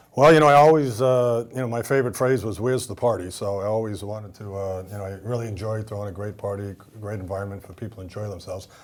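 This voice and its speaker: Hardly pausing at all, a man with fairly low pitch talks at a very fast pace and varies his pitch in an ordinary way. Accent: Boston. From US Northeast, Boston. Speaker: event venue owner. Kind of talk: TV talk show interview. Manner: halting, many fillers and repetitions.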